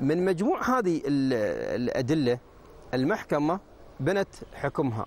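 Recorded dry with no echo, a man talks very slowly in a fairly high voice with very wide pitch swings. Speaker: lawyer. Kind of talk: TV panel discussion. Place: studio.

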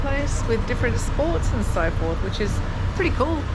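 A woman is heard speaking over loud noise in the background. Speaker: travel vlogger. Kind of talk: casual vlog chat. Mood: relaxed, cheerful. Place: bar. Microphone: phone near.

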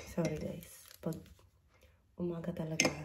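A hoarse, raspy put-on character voice rattles along at a fairly quick pace over clear background noise. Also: woman. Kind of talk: casual vlog chat.

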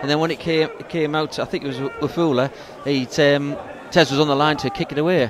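A man at a fairly quick pace, relaxed in tone, fairly high-pitched, with fairly even intonation and noticeable background noise. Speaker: co-commentator, match analyst. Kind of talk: live football commentary, analysis. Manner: relaxed, conversational, hesitant with fillers.

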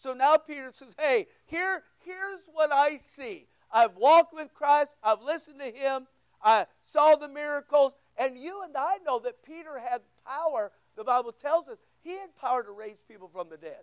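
An extremely high-pitched male voice with lively intonation and big swings in loudness, at a moderate pace, dry with no echo over a quiet background. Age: 60s. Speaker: pastor. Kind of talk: sermon. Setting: church. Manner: informal, joking. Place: church.

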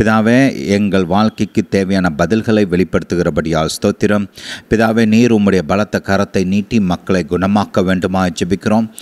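A man speaks in a plain, everyday voice, with fairly low pitch, fairly even intonation and very even loudness. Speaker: preacher. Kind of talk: prayer and sermon. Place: studio. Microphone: handheld.

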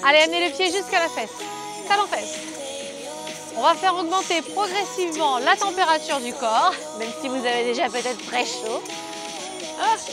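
A woman's high voice with very wide pitch swings and long, frequent pauses at a moderate pace, dry with no echo, music in the background. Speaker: fitness coach. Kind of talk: workout instruction. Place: garden. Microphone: lapel.

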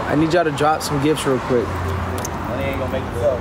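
The speech comes at a very fast pace with lively intonation against loud background noise. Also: man. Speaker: live streamer. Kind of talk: live stream appeal to viewers. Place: street. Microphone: phone near.

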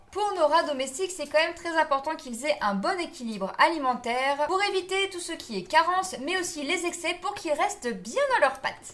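Her pitch is extremely high for a woman, and her intonation is lively. This woman speaks with hardly any pauses. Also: moderate pace. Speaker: pet care vlogger. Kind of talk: tutorial. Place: home room.

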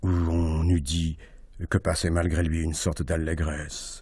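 Very deep and low, a man's dark, mellow voice moves at a very slow pace with a dramatic tone, somewhat breathy and monotone in its flat intonation. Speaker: actor reading aloud. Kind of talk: literary audiobook reading, intense, hushed first-person narration of a tense sea scene. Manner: hushed, dramatic, deliberate.

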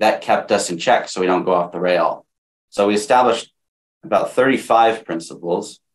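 A man's fairly low voice, an unremarkable speaking voice, at a moderate pace and with ordinary pitch variation. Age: young. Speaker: real estate investor. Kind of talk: interview. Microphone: video call.

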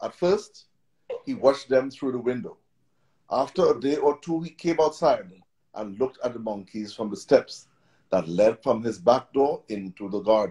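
The tone is dark and mellow, at a moderate pace. The background is quiet. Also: man. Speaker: story narrator, grandfather. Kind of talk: children's story reading, storybook narration. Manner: warm, gentle, storytelling cadence. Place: home room. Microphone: video call.

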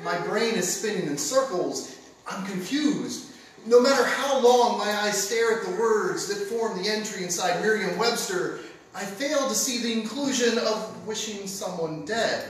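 A man's high-pitched, lively voice at a fairly slow pace, with noticeable background noise. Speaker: spoken word poet, competitor. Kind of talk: spoken word poetry performance. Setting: stage with audience. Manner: sardonic, angry.

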